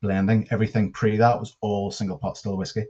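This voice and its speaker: A man with a Northern Irish accent speaks in a dark, mellow tone, pitched fairly low, with fairly even intonation. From Northern Ireland, near Belfast. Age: 30s. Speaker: whiskey brand ambassador. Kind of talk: presentation. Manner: halting, many fillers.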